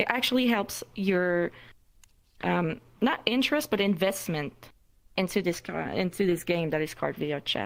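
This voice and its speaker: Pausing long and often, a woman with a non-native accent speaks at a moderate pace and medium pitch with lively intonation. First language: not English. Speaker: meetup moderator. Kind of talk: panel discussion. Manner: halting.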